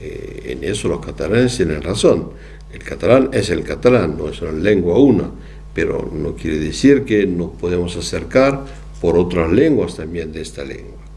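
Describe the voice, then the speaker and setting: A man with a French accent: very deep, low pitch, very wide pitch swings, big swings in loudness, a moderate pace, audible room echo, and noticeable background noise. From southwest France. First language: French (speaking Spanish). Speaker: psychoanalyst lecturer. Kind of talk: lecture. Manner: halting.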